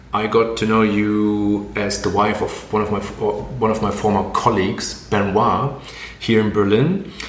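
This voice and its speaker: Amid noticeable background noise, a man with a fairly low voice speaks at a fairly slow pace. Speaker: podcast host. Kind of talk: interview.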